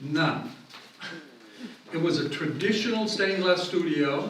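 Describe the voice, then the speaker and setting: A man is speaking in a room with audible echo. Noticeable background noise can be heard. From Italy, Rome. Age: 70s. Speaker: glass artist. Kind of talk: lecture. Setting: museum hall with audience.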